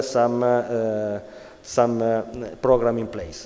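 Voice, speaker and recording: A man with an Italian accent speaks very slowly at a medium pitch. Noticeable background noise and audible room echo surround him. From Italy. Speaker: conference speaker on sports social responsibility. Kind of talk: conference talk. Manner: halting, many fillers.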